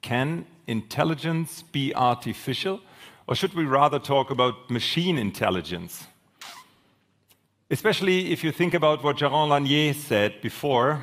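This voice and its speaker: On a very clean recording with a silent background, a man in a normal speaking voice talks at a moderate pace with a fairly high pitch and lively intonation. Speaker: panel moderator. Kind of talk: moderated panel discussion. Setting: conference stage with audience.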